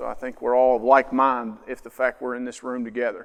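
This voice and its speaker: A man talks at a fairly quick pace in a medium pitch. The recording is very clean, with a silent background. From southern Ohio, near Huntington, West Virginia. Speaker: mental health speaker, social worker. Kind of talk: public talk to parents. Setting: school auditorium with audience. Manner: casual, conversational with fillers.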